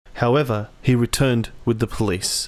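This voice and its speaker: This very clean recording has a silent background and a man with an unremarkable speaking voice. His pitch is medium and his intonation fairly even. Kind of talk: documentary narration.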